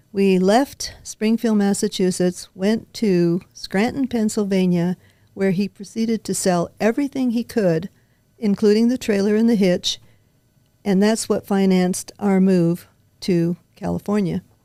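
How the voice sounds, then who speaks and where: A woman's medium-pitched, dark, mellow voice with an American accent, fairly slow and fairly even in intonation, with very even loudness and a dry, close sound with no echo. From Nevada (Henderson), from age 12. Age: 80s+. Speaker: longtime local resident. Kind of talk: interview, life story.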